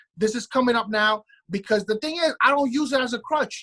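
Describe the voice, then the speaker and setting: A man with a Brooklyn accent talks at a very fast pace in a raised, projected voice, his pitch extremely high with ordinary variation. His tone is bright and sharp, and the sound is dry and close with no echo. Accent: New York (Brooklyn). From New York City, Brooklyn. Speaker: podcast co-host. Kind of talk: casual chat. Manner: halting, repeats words.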